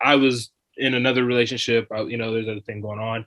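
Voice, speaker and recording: A man is talking. Behind his voice, music plays. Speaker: college student and football player. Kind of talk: casual chat. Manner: laid back; halting, many fillers.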